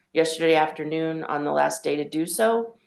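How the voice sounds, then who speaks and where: Against a quiet background, the speaker keeps a moderate pace. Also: woman. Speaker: agency attorney. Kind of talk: formal meeting report. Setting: public commission meeting. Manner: loud.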